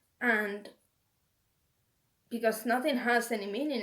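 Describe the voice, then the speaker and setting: A woman with a Finnish accent speaks at a fairly slow pace and a fairly high pitch. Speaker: video blogger with schizophrenia. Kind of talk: casual talk to camera. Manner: halting, searching for words.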